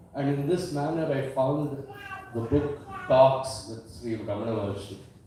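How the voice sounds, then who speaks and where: A man's fairly high voice at a fairly slow pace with ordinary pitch variation, amid noticeable background noise and audible room echo. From India. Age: 60s. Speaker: invited speaker at a devotee gathering. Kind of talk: personal testimony speech. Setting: community event hall with audience.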